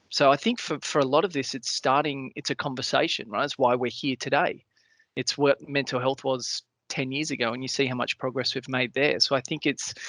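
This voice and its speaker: With an Australian accent, a man speaks at a fairly quick pace in a fairly high pitch and fairly even intonation. The sound is dry and close with no echo, over a quiet background. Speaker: cancer patient panelist. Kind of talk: webinar panel discussion. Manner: fast, jumping between points.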